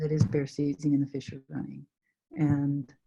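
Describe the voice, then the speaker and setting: A woman speaks in a somewhat breathy voice. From Canada. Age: 60s. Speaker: adventurer, solo traveller. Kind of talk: interview answer.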